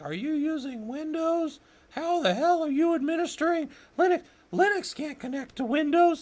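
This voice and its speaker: In a put-on character voice, a man sounds squeaky and extremely high-pitched while keeping a moderate pace. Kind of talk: incredulous. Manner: mocking, stupid-sounding.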